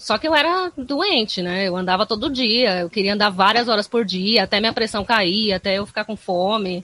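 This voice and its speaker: A woman's normal speaking voice at medium pitch and a moderate pace, with ordinary pitch variation and hardly any pauses. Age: 30s. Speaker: skateboarder and psychologist. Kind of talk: podcast interview.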